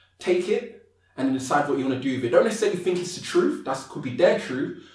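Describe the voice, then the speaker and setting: A man talking at a very fast pace with lively intonation, plus audible room echo. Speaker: motivational speaker. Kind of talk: podcast interview.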